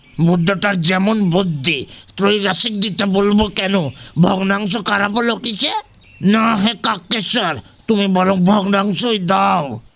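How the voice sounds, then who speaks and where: A man's put-on character voice, high in pitch, at a fairly slow pace with fairly even intonation and very even loudness. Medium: audio drama. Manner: grumbling, cranky.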